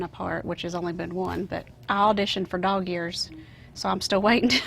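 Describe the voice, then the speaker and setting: With a Southern US accent, a woman talks at a fairly quick pace in a monotone, flat intonation at a medium pitch. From US South. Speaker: actress. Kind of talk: interview.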